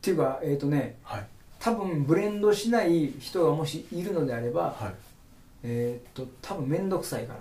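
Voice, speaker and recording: Audible room echo surrounds a man whose pitch rises and falls very widely. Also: moderate pace. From Kagawa, Japan (Kotohira). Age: 40s. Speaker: udon shop owner. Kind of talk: casual interview.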